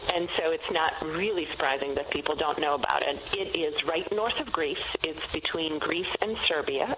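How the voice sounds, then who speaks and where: There is noticeable background noise as a woman with a very deep, low pitch speaks at a moderate pace. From Macedonia. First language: Macedonian. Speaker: wine educator and author. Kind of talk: radio interview.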